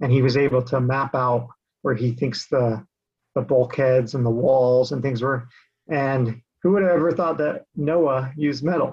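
A man's voice sits at a medium pitch and sounds somewhat breathy. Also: moderate pace. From Utah (Salt Lake City area). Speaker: real estate investor, creation researcher. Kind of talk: interview conversation.

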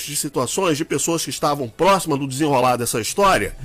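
A man talks at a fairly quick pace, his pitch swinging very widely. Noticeable background noise sits behind him. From Brazil, Minas Gerais. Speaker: radio host. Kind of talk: radio political debate.

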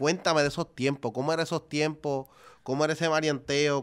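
A moderate pace carries the speech. Its intonation stays monotone and flat. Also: man, very clean recording, silent background. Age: 30s. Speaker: podcast host. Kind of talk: interview.

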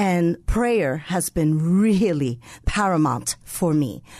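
A woman's fairly low, dark and mellow voice with an American accent and lively intonation, over a quiet background. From New York City, the Bronx. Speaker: co-pastor. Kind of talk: radio interview.

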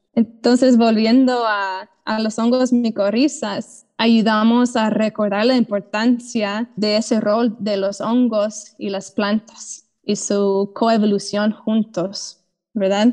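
Here a woman speaks in an English accent, her pitch fairly high and her intonation monotone and flat. Her pace is very slow, with hardly any pauses. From US South (Georgia). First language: English (speaking Spanish). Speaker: mycologist and soil restorer. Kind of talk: interview. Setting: video call.

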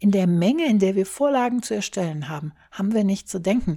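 A woman at medium pitch, somewhat breathy, speaks at a moderate pace with lively intonation on a very clean recording with a silent background. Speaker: solo podcaster. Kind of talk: casual monologue. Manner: less energetic than usual.

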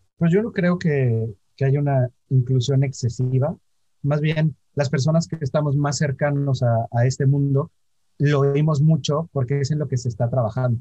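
Recorded dry and close with no echo, a man speaks at a moderate pace in a fairly high, somewhat breathy voice with a dark, mellow tone and ordinary pitch variation. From Mexico, Orizaba, Veracruz. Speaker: LGBT business federation co-founder. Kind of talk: interview.

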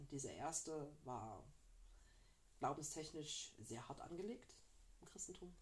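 A woman speaks at a moderate pace with lively intonation and a very deep, low pitch. Audible room echo surrounds her voice. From northern Germany, flatland. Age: 30s. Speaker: podcast co-host. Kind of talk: casual chat.

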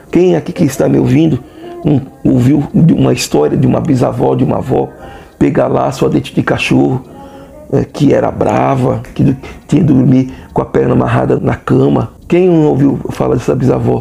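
Over music in the background, a man speaks with very even loudness and long, frequent pauses. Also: moderate pace. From southern Bahia, Brazil (Tupinambá of Olivença). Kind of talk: interview.

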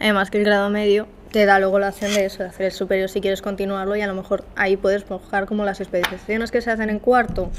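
A woman at medium pitch, very fast pace, monotone and flat intonation, hardly any pauses. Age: 20. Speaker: journalism student. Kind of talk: casual chat. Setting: university classroom with echo. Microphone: echo, uneven distance to mic.

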